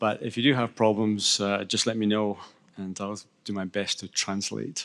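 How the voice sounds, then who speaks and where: With a Scottish accent, a man talks at a moderate pace in a fairly low, flat monotone on a very clean recording with a silent background. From Scotland. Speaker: panel moderator. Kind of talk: panel moderation.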